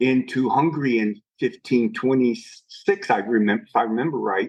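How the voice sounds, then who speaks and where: A man with an American accent has a plain, everyday voice at medium pitch. He speaks at a moderate pace with lively intonation. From United States. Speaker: restaurant owner. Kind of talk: interview answer.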